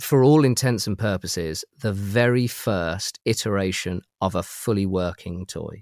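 A man with a British accent, fairly low pitch and ordinary pitch variation on a very clean recording with a silent background. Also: dry, close sound with no echo. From UK. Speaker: toy collector. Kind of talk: casual chat.

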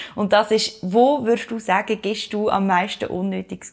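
A woman speaks with a Swiss accent. Her pace is moderate. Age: 30s. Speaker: podcast co-host, communications consultant. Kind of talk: casual chat.

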